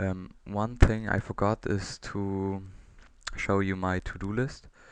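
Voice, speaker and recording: A man with a fairly low pitch and a non-native accent talks at a very slow pace. His intonation stays fairly even against a quiet background. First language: not English. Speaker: open source software developer. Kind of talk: software demo presentation. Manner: halting, many fillers.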